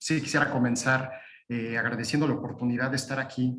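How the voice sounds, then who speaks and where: A man's voice at a medium pitch, with fairly even intonation. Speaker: lawyer. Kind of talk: webinar presentation. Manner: halting, many fillers.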